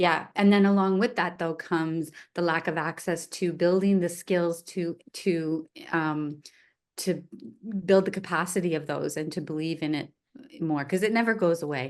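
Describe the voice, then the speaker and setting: Against a quiet background, a woman with a fairly low pitch speaks at a moderate pace with fairly even intonation. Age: 60s. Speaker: arts nonprofit leader. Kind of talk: interview. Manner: halting.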